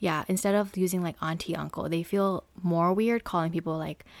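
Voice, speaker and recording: At a moderate pace, a woman speaks in an unremarkable speaking voice with fairly low pitch and fairly even intonation. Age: 20s. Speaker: podcast co-host. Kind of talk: casual chat.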